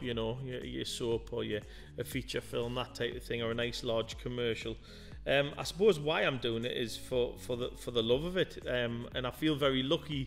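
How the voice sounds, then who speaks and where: Ordinary pitch variation over faint background music. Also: man. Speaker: interview guest. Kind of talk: interview answer. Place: studio. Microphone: studio mic.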